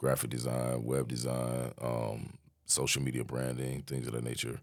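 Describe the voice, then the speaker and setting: A man with a very deep, low pitch at a moderate pace. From Las Vegas, US. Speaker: entrepreneur. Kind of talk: podcast interview.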